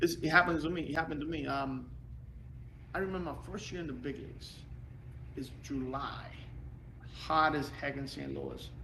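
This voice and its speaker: A man at a moderate pace with long, frequent pauses, big swings in loudness, and audible room echo. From Puerto Rico. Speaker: former pro baseball player and coach. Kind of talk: podcast interview. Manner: animated.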